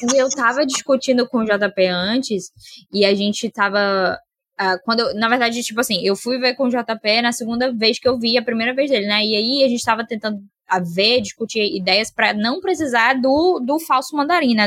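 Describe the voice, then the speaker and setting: In a dry, close sound with no echo, a woman with a normal speaking voice talks fairly quickly at fairly high pitch, with ordinary pitch variation. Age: 20s. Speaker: film podcast guest. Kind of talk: casual chat.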